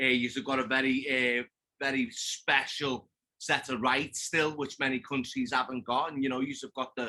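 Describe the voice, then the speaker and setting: A man's medium-pitched voice with a Liverpool accent, bright and sharp in tone, at a moderate pace with fairly even intonation. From England, Liverpool. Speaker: podcast guest, hunter. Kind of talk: casual chat.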